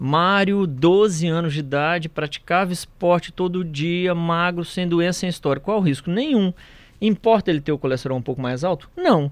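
This man's pitch is high. He keeps a moderate pace with ordinary pitch variation. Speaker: cardiologist. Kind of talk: radio interview.

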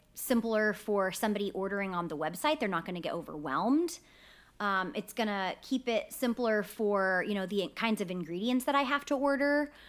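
A woman with an ordinary speaking voice talks at a moderate pace, medium-pitched with lively intonation, in a very clean recording with a silent background. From Texas, Sugar Land near Houston. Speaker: bakery owner, entrepreneur. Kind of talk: casual interview chat. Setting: recording studio at co-working space.

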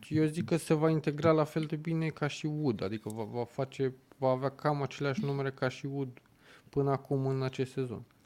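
The background is silent and the recording very clean. The speaker has a plain, everyday voice. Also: man, fairly high pitch for a man, fairly even intonation, moderate pace. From southern Romania. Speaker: football pundit. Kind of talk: casual chat.

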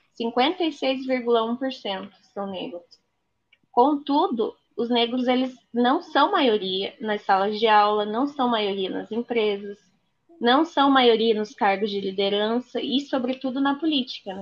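At a very slow pace, a woman with a high pitch speaks with ordinary pitch variation. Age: 20s. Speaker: lawyer and political co-candidate. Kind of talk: interview.

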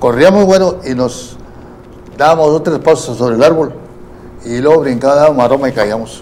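A man's fairly high voice with ordinary pitch variation, moderate pace and long, frequent pauses, over noticeable background noise. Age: 80s+. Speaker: youth baseball coach. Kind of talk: interview. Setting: studio.

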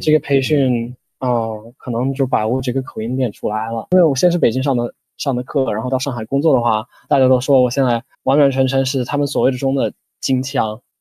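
With a northern Chinese accent, a man talks at a fairly quick pace in a medium pitch, his tone dark and mellow, his intonation fairly even, and the sound dry and close with no echo. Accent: near-native northern Chinese Mandarin. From United States. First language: English (speaking Chinese). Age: 20s. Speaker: Chinese language learner. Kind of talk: interview.

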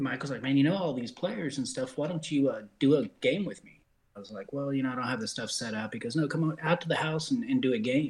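The man has a normal speaking voice. His pitch is fairly high, with ordinary pitch variation. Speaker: sim league broadcaster. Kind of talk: casual group chat about sim football broadcasting.

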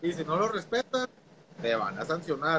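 Moderate-paced talk from a man amid noticeable background noise. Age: 30s. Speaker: teacher. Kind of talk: casual chat.

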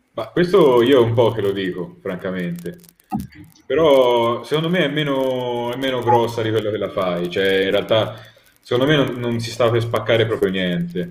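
A man's medium-pitched voice with lively intonation at a moderate pace, with audible room echo. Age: young. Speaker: debate guest. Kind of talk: heated debate.

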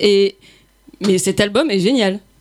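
A woman is speaking. Her pace is moderate. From rural area near Lyon, France. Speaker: radio host. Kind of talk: casual chat.

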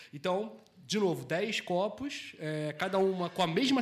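Lively intonation from a high-pitched man, at a moderate pace. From Brazil, Rio de Janeiro. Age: 30s. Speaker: beer sommelier. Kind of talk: casual chat. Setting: bar.

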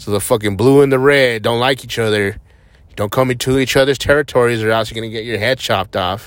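Talking at a fairly quick pace, a man with an American accent uses a medium pitch and ordinary pitch variation. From New Mexico, US. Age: 30s. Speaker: podcaster. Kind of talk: casual monologue. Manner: rambling, filler-heavy.

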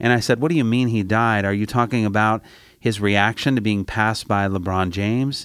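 An unremarkable speaking voice from a man, fairly low in pitch, with ordinary pitch variation and a moderate pace, on a very clean recording with a silent background. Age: 50s. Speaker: campus ministry director. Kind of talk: sermon.

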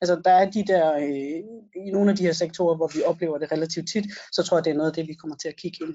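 Monotone, flat intonation at a very fast pace. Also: woman, fairly low pitch for a woman. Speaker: lawyer, procurement law podcast co-host. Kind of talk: casual expert discussion of legal rulings.

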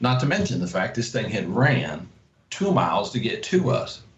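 Pitch swings very widely, at a fairly slow pace, with an American accent. Audible echo from the room surrounds the voice. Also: man. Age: 50s. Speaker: hunter. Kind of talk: casual chat.

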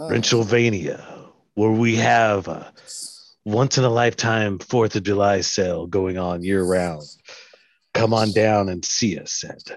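On a very clean recording with a silent background, a man with a fairly low pitch speaks at a fairly slow pace, leaving long, frequent pauses. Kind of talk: radio commercial pitch. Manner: grandiose, suggestive.

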